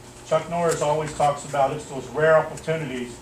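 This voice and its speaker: The speech moves at a moderate pace. Room echo is audible, and background noise is noticeable. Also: man. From German-American military family. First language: German. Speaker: martial arts instructor. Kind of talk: motivational speech at awards ceremony. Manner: animated.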